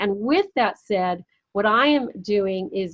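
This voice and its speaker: A plain, everyday voice from a woman, at a fairly slow pace with ordinary pitch variation. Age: 60s. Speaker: entrepreneur and women's summit founder. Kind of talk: interview conversation.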